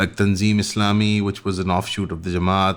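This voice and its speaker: Over a silent background in a very clean recording, a man with a non-native accent talks at a fairly quick pace in a fairly low, monotone, flat voice. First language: not English. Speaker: podcast host. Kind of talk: interview question. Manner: fast.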